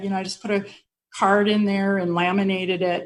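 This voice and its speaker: In an American accent, a woman of medium pitch talks at a fairly quick pace with ordinary pitch variation and audible room echo. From Colorado, US (Denver). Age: 60s. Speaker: mortgage executive. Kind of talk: interview.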